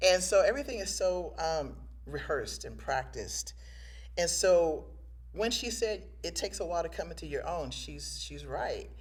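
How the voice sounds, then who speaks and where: In a room with audible echo, a woman speaks at a moderate pace with big swings in loudness. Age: 60s. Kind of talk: casual interview chat.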